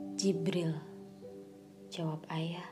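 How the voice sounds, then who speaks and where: A solemn tone at a fairly slow pace, with noticeable background noise. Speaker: audiobook narrator. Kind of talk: literary audiobook narration, first-person historical novel read aloud. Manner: solemn, mournful, emotional, with restrained sorrow; slow, measured, formal literary delivery.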